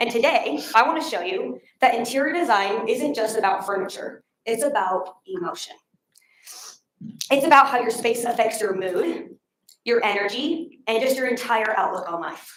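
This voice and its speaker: Amid audible room echo, a woman speaks with lively intonation at a fairly high pitch. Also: moderate pace. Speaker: public speaker. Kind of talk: prepared talk.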